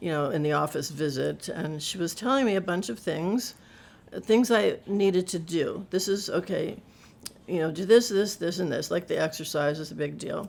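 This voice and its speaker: A woman talks at a moderate pace with vocal fry. Her fairly low pitch moves with lively intonation. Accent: American. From Ohio, US Midwest. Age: 70s. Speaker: retired nurse living with Parkinson's. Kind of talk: personal testimony interview. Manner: halting, with many fillers and repetitions.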